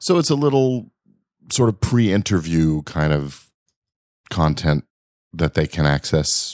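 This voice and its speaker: This man has a very deep, low pitch with very wide pitch swings and long, frequent pauses at a fairly slow pace. The recording is very clean, with a silent background. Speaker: podcast host. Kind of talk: casual interview. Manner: conversational, friendly.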